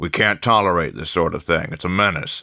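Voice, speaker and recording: Putting on a character voice, a man speaks raspy and at a very deep, low pitch at a fairly quick pace. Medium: read story. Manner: nervous, overly jovial.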